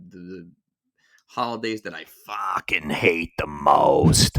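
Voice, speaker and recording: A man puts on a raspy character voice in a Boston accent, pitched very deep and low. He delivers it at a very slow pace. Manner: annoyed, casual.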